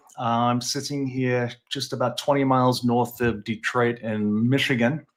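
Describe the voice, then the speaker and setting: The speaker has a British accent. The recording is very clean, with a silent background. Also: man. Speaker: chronic pain coach. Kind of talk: interview. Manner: hesitant, many fillers.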